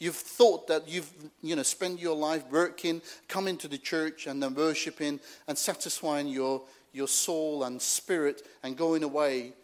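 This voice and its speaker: On a very clean recording with a silent background, a man with a non-native accent speaks fairly slowly at a fairly high pitch. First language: not English. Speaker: travelling preacher. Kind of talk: sermon.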